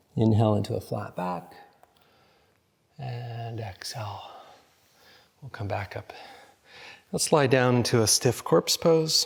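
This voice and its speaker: A man talks in a calm, somewhat breathy tone, with long, frequent pauses. His loudness swings widely. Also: medium pitch for a man, ordinary pitch variation, fairly slow pace. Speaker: yoga teacher. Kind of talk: guided yoga class instruction. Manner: calm, slow instruction.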